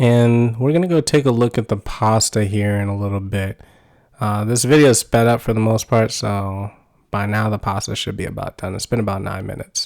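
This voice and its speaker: On a very clean recording with a silent background, a man with an American accent talks at a fairly quick pace in a medium pitch, his intonation fairly even. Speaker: cooking channel host. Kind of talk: tutorial. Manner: monotone.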